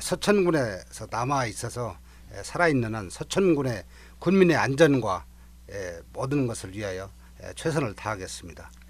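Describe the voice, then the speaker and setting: With vocal fry and big swings in loudness, a man speaks at a medium pitch and a moderate pace. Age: 60s. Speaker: retiring fire station chief. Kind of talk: radio interview.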